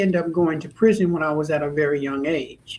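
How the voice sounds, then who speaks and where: With an American accent, a man speaks at a high pitch and fairly even intonation. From California, Stockton area. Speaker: author and speaker, former prisoner. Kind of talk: interview.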